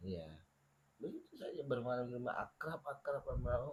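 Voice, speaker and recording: With a Papuan accent, a man talks at a moderate pace in a somewhat breathy voice. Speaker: podcast guest. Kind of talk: casual chat. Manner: animated.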